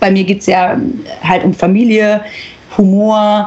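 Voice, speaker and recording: A woman at a very slow pace over noticeable background noise. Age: 30s. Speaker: influencer and agency founder. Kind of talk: interview.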